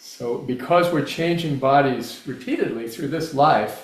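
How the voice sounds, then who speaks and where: Audible room echo follows a man speaking fairly slowly at a fairly high pitch with ordinary pitch variation. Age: 70s. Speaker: guest speaker on spiritual philosophy. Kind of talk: Q&A answer in a talk. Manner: halting, with fillers and restarts.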